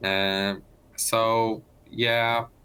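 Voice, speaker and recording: Flat, monotone delivery with a slight Italian accent. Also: man. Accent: Italian-tinged. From Poland. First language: Polish. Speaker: Olympic speed skater. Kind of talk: casual interview. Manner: halting, many fillers and restarts.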